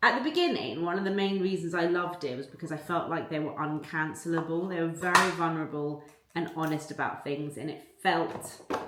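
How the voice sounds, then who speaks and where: A woman's fairly low voice at a fairly quick pace, with fairly even intonation over noticeable background noise. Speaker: lifestyle vlogger. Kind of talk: casual vlog talking to camera. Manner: chatty, friendly.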